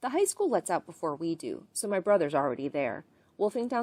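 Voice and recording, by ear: The clip consists of reading aloud in a natural voice.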